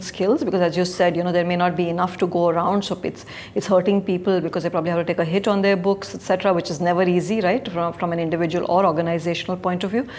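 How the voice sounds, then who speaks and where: Over noticeable background noise, a woman speaks at a medium pitch and a very fast pace. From India. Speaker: investment banker. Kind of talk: interview.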